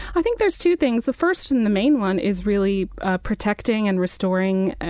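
In a very clean recording with a silent background, a woman with a normal speaking voice talks at a moderate pace and medium pitch. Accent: American. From New Mexico, US Southwest. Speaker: dark sky advocate and journalist. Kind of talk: interview.

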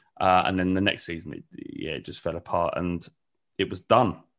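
Against a quiet background, a man talks at a fairly quick pace. His very deep, low pitch stays monotone and flat. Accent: London. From North London. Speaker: football fan channel creator. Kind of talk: casual interview chat. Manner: halting.

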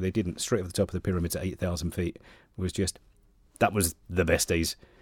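Talking at a very fast pace with a southeast English accent, a man delivers a very deep, low pitch and a dark, mellow tone in a monotone, flat manner, the sound dry and close with no echo. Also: very clean recording, silent background. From Kent, southeast England. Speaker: radio station manager. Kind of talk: interview.

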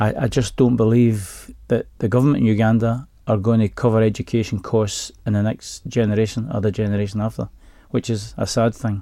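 A man with a Glaswegian accent speaks at a fairly quick pace in a dark, mellow tone. His intonation stays fairly even, and the recording is very clean with a silent background. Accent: Glaswegian Scottish. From Glasgow, Scotland. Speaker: bank employee. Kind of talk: radio interview. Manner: halting.

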